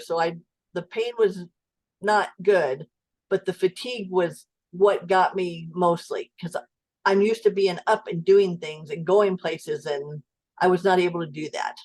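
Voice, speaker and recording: A moderate pace and ordinary pitch variation in a woman's medium-pitched voice, a plain, everyday voice. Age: 60s. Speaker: client sharing health story. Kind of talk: interview testimony.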